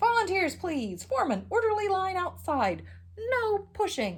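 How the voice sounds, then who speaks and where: She talks at a fairly slow pace in a put-on character voice. This woman's pitch sits extremely high. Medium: read story. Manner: pompous, announcing.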